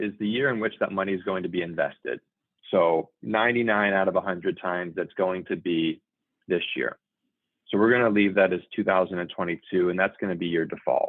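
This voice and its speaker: The man's voice sits fairly low in pitch. He keeps a moderate pace with ordinary pitch variation. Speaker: software trainer. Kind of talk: tutorial.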